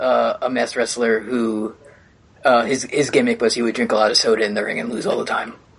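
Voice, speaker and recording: Using a raspy, put-on character voice, a man speaks at medium pitch. His pace is fairly quick. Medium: actual play. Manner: hesitant, rambling.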